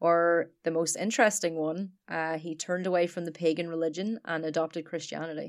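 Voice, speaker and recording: The recording is very clean, with a silent background. A woman with an Irish accent and a fairly low pitch talks with hardly any pauses. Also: fairly quick pace. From Ireland. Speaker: podcast co-host. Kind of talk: casual chat. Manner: animated.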